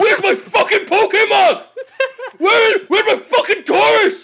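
Put-on character voice from a man, extremely high in pitch, at a moderate pace. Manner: menacing, threatening.

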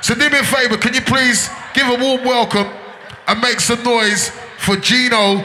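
A man's raised, projected voice sits at an extremely high pitch, moving at a moderate pace with ordinary pitch variation over noticeable background noise. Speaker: club MC hyping the crowd between DJ sets. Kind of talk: live DJ/MC patter, hype crowd calls over a set. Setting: club or party dance floor with crowd.

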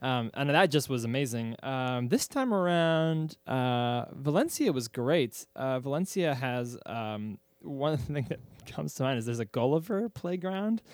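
Speaking in an unremarkable speaking voice with an American accent, a man goes at a fairly slow pace and medium pitch with lively intonation, on a very clean recording with a silent background. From central Pennsylvania. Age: young.

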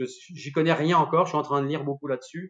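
A man talks at a fairly quick pace in a fairly high pitch. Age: 60s. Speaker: winemaker and sommelier. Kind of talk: casual interview. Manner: animated.

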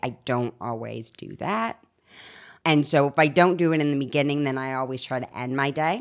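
A woman with a very deep, low pitch on a very clean recording with a silent background. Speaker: recovering alcoholic, healthcare worker. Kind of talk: casual chat.

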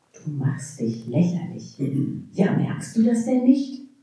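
Audible room echo surrounds a woman talking at a very slow pace. Her fairly low pitch makes very wide swings. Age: 60s. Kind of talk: poetry slam performance; panel discussion.

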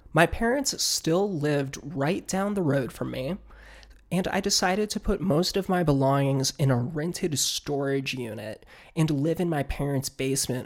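A very clean recording with a silent background, an American accent and a moderate pace. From Northern Virginia. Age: 20s. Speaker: podcast host. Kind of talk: personal monologue.

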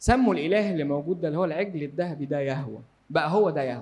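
A very fast pace with very wide pitch swings. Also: man. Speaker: Bible teacher. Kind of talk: Bible study lecture.

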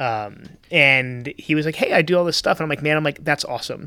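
Talking at a fairly quick pace, a man with an American accent has a bright, sharp tone and fairly even intonation. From Central Florida. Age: 40s. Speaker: entrepreneur. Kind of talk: casual chat. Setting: restaurant.

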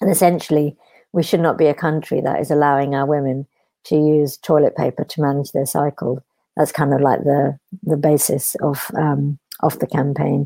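A woman with a British accent speaks at a very deep, low pitch in a dark, mellow tone, with fairly even intonation at a moderate pace on a very clean recording with a silent background. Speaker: charity founder. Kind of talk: interview.

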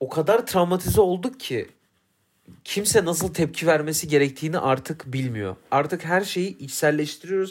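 A man with a high pitch at a moderate pace. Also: ordinary pitch variation. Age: 20s. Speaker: podcast co-host, F1 commentator. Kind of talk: casual chat. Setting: studio, face to face.

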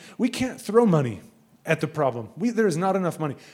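An animated man with an American accent talks with very wide pitch swings. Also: very clean recording, silent background. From United States. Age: 30s. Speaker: missionary. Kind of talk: sermon. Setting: church with audience.

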